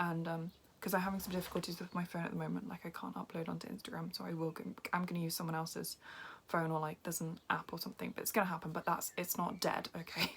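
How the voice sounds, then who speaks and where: Very fast speech over music in the background. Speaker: vlogger. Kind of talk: casual vlog. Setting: indoors at someone else's house. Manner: hesitant, filler-heavy.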